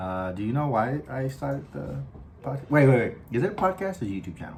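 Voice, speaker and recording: Amid noticeable background noise, a man with an American accent speaks fairly quickly at a medium pitch, with very wide pitch swings. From Los Angeles, US West Coast. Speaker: podcast host and scare actor. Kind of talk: casual chat. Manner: halting, many fillers.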